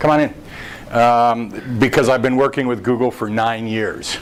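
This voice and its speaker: With an American accent, a man speaks at a moderate pace and medium pitch, his intonation fairly even, over noticeable background noise. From United States. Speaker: internet marketing speaker. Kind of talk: presentation at a meetup. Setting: meetup room with audience. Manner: informal, joking.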